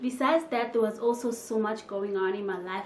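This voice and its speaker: A woman talks in a fairly high pitch with fairly even intonation. Noticeable background noise sits behind her. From DR Congo. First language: French or Congolese languages. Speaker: YouTuber. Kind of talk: casual vlog talk to camera.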